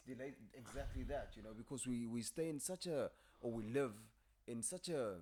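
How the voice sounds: Bright and sharp in tone, the man's voice sits at a medium pitch. He moves at a fairly quick pace with ordinary pitch variation.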